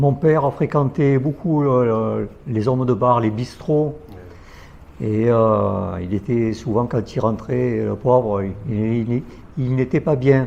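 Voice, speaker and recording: At a very slow pace with long, frequent pauses, a man talks at a medium pitch with ordinary pitch variation. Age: 60s. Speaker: guest sharing faith story. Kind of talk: testimony.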